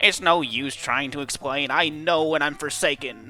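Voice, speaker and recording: A man speaks in a put-on character voice at a fairly high pitch and a moderate pace, with faint music in the background. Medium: dub. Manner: melodramatic, self-pitying.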